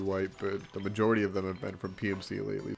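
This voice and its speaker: Very deep, low male voice at a very fast pace, in a monotone with flat intonation. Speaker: gaming video creator. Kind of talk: gameplay commentary. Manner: casual.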